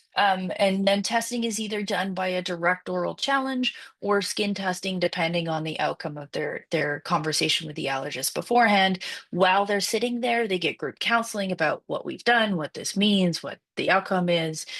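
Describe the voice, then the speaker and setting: Against a quiet background, a woman talks at a medium pitch with ordinary pitch variation and hardly any pauses. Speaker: obstetrician. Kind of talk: webinar presentation. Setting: online webinar. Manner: fast.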